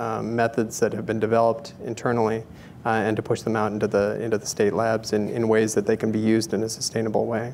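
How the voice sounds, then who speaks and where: There is light background noise as a man speaks in a monotone, flat intonation. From Canada, Calgary, Alberta. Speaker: public health scientist; guest. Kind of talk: technical interview. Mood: calm, thoughtful. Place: stage. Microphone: lapel.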